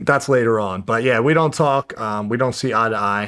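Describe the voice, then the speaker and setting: A man at a medium pitch, ordinary pitch variation, with a New Jersey accent. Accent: New Jersey American. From New Jersey, US. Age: 20s. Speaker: professional mixed martial artist. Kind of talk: interview, personal life story. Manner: casual, hesitant with fillers.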